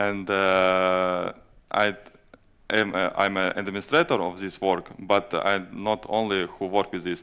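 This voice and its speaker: A man with a non-native accent speaks in a fairly low pitch with a bright, sharp tone and monotone, flat intonation, in a very clean recording with a silent background. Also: fairly slow pace. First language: Latvian or Russian. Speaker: fire safety GIS administrator. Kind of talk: conference presentation and Q&A. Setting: stage at a conference. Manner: halting, many hesitations.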